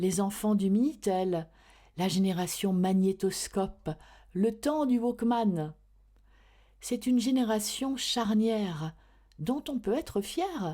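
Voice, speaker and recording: A woman at medium pitch speaks at a very slow pace with long, frequent pauses and very even loudness. Her tone is dark and mellow, on a very clean recording with a silent background. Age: 50s. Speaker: voice-over artist. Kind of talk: introspective podcast narration.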